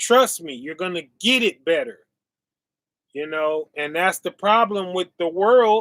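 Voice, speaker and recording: In a dry, close sound with no echo, a man speaks fairly slowly at a high pitch, his loudness swinging a lot. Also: lively intonation. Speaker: bible teacher. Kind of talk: sermon. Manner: slow, deliberate.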